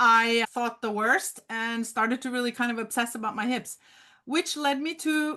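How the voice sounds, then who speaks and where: A woman with a Norwegian accent speaks at a high pitch in a bright, sharp tone, with ordinary pitch variation. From Norway, Oslo. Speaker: memoir author. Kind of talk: interview.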